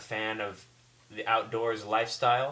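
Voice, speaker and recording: Here a man's voice sits fairly low in pitch, with a bright, sharp tone. He speaks at a moderate pace. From Southern California (South Bay, Los Angeles). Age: 20s. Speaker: job applicant, English teacher. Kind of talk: self-introduction video. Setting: recorded at computer. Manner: halting, with fillers.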